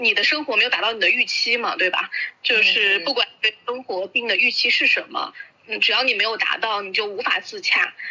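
Over noticeable background noise, a woman talks at a fairly quick pace in a fairly high voice with lively intonation. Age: 30s. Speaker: video maker. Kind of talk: casual chat.

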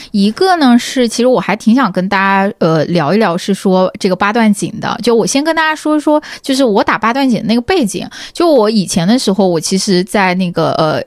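A plain, everyday voice moves at a moderate pace with hardly any pauses. Its intonation is lively. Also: woman. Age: 20s. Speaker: tech company employee, wellness enthusiast. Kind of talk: casual chat.

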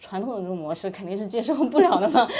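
A woman's dark, mellow tone. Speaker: startup employee, former management consultant. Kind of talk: casual interview chat.

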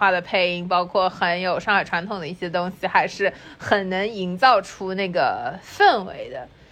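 A woman speaks at a medium pitch. Noticeable background noise runs behind her. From Shanghai. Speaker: podcast co-host. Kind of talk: casual chat.

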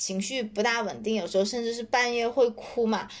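At a moderate pace, a woman with a fairly high pitch talks in a plain, everyday voice. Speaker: author and growth marketer. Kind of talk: interview.

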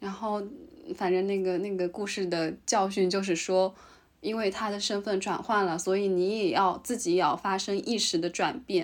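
This woman has an ordinary speaking voice with a medium pitch. She talks at a moderate pace with fairly even intonation. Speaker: podcast co-host, graduate student in Japan. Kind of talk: casual chat.

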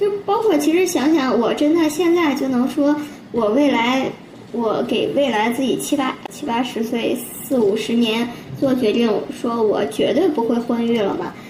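Noticeable noise in the background mixes with room echo that can be heard. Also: woman, high pitch for a woman, lively intonation, fairly slow pace. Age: 30s. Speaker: civil servant. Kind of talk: casual chat.

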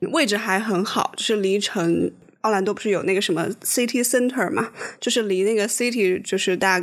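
At a moderate pace, a woman speaks at a medium pitch with ordinary pitch variation in a normal speaking voice. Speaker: podcast co-host. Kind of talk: casual chat.

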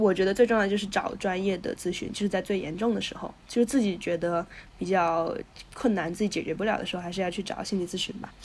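A woman at a medium pitch, very fast in pace, with fairly even intonation. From northwest China. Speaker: brand operations professional. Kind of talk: interview conversation. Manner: halting with many fillers.

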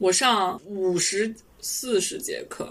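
A woman speaks with a fairly high pitch. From Shaanxi, China. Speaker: science writer and podcaster. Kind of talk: casual interview chat.

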